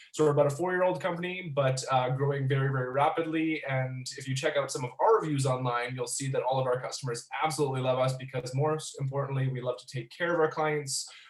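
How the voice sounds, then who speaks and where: A man's very fast, fairly high-pitched delivery with a Canadian accent, fairly even intonation and hardly any pauses, against noticeable background noise. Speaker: business expert presenter. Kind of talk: webinar presentation.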